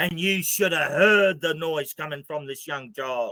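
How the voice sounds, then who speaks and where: Dry and close with no echo, a man's voice has a bright, sharp tone and an Australian accent. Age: 60s. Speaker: activist spokesman. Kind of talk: interview. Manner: animated.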